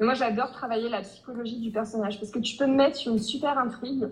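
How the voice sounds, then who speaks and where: A woman speaks with ordinary pitch variation, and some room echo can be heard. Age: 20s. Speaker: romance novelist. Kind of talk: interview. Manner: hesitant, many fillers.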